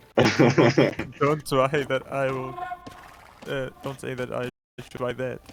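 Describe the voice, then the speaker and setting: Spoken at a very slow pace with long, frequent pauses, this voice stays monotone and flat in intonation while its loudness swings widely. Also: man, medium pitch for a man. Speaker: co-caster and tournament player. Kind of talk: live commentary.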